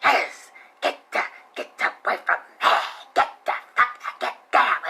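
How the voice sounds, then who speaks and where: A put-on character voice speaks at a fairly slow pace. The words come out with a hissing sound. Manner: menacing, aggressive.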